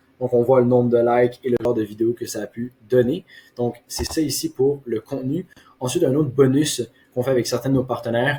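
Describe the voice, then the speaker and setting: This voice has a dark, mellow tone, is somewhat breathy, and moves at a moderate pace with monotone, flat intonation. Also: man. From Quebec. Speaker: marketing agency owner. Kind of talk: case study presentation. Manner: hesitant with frequent fillers.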